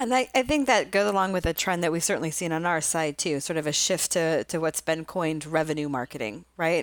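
An ordinary speaking voice, a woman's at a fairly low pitch, runs at a fairly quick pace with lively intonation and hardly any pauses, on a very clean recording with a silent background. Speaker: podcast host and marketing executive. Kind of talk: interview.

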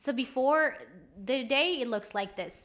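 This woman speaks with a Spanish accent. Her pace is moderate. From small town in Colombia. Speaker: podcast co-host, spiritual teacher. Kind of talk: casual chat.

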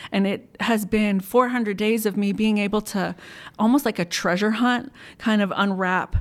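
Over a silent background in a very clean recording, a woman with an American accent uses a normal speaking voice at medium pitch. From US, Maryland (Montgomery County). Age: 40s. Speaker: churchgoer sharing healing testimony. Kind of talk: testimony.

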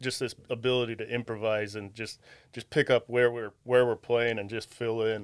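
Speaking in an unremarkable speaking voice with an American accent, a man keeps a medium pitch, moderate pace and fairly even intonation on a very clean recording with a silent background. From Ohio, Wadsworth. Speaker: guitarist and singer. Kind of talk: casual chat.

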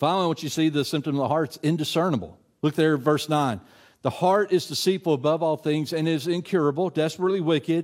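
In a very clean recording with a silent background, a man with a Tennessee accent talks at a fairly high pitch and fairly quick pace, with ordinary pitch variation. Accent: Tennessee Southern. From West Tennessee, US South. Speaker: adult minister. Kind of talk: sermon. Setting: church. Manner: casual with many filler words.

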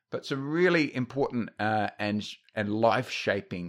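Recorded very cleanly against a silent background, a man with a fairly low voice talks at a moderate pace with lively intonation. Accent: Australian. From Australia, North Queensland. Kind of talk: casual discussion. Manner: halting, many fillers and repeats.

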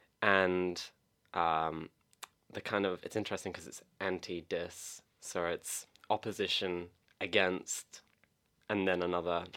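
The tone is bright and sharp, and the intonation stays fairly even. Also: man. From England, moved to Australia aged nine. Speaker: guest. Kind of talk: casual chat. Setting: studio.

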